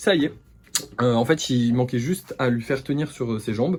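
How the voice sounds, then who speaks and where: On a very clean recording with a silent background, a man with a dark, mellow tone speaks at a fairly quick pace, his medium-pitched voice somewhat breathy and showing ordinary pitch variation. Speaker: vlogger and craft maker. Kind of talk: casual vlog. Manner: soft-spoken.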